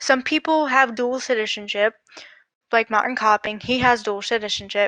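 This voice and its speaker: A woman with an American accent speaks at a moderate pace in a bright, sharp tone with fairly high pitch and fairly even intonation. The sound is dry and close, with no echo. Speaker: livestream guest. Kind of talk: casual chat.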